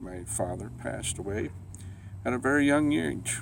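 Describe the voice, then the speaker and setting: A man talks with vocal fry, and the room echo is audible. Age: 50s. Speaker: cancer survivor. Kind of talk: personal testimony. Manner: halting, many fillers.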